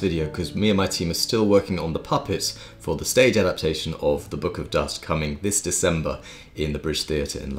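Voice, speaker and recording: Faint music sits in the background as a man with a very deep, low pitch talks at a very fast pace. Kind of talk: casual vlog chat. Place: home room. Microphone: phone near.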